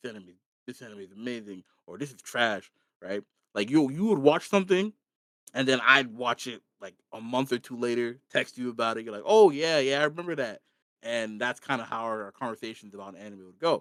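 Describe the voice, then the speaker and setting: A man's medium-pitched, animated voice with lively intonation at a fairly quick pace, big swings in loudness, and a dry, close sound with no echo. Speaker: podcast co-host. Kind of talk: casual chat.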